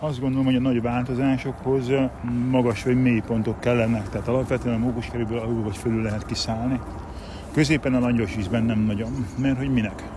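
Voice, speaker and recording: Amid noticeable background noise and audible room echo, a man talks at a very fast pace with a medium pitch and fairly even intonation. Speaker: martial arts instructor. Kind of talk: casual chat.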